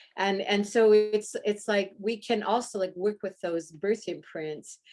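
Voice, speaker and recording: A woman's unremarkable speaking voice, medium in pitch, at a fairly slow pace with fairly even intonation. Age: 60s. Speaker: breathwork practitioner working with birth trauma. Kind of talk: interview.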